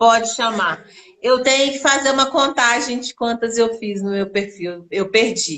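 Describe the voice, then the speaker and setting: A woman in a Minas Gerais accent, fairly high in pitch, at a fairly slow pace with ordinary pitch variation. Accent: mineiro (Minas Gerais) Brazilian Portuguese. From Minas Gerais, Brazil. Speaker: storyteller and actress. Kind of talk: casual chat. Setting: live stream conversation.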